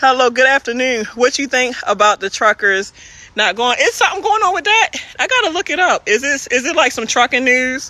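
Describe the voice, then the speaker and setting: In a Baltimore accent, a woman with a high pitch and very wide pitch swings speaks at a fairly quick pace in a raised, projected voice, the sound dry and close with no echo despite noticeable background noise. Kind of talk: casual.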